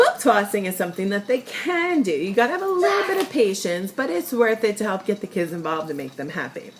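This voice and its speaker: A woman with a slight New York accent speaks at a very fast pace against noticeable background noise. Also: medium pitch for a woman. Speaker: sales representative. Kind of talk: casual tutorial vlog. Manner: chatty, filler-heavy.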